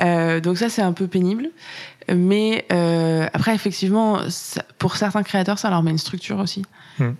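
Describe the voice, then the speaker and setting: A woman with a normal speaking voice, medium pitch, fairly even intonation and very even loudness. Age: 30s. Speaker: influencer marketing manager. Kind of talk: interview.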